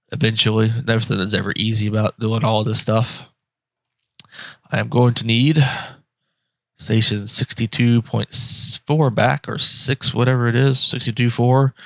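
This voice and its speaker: With long, frequent pauses, a man speaks at a medium pitch with fairly even intonation. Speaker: RC aircraft hobbyist tutorial maker. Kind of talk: tutorial. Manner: fast; casual, conversational.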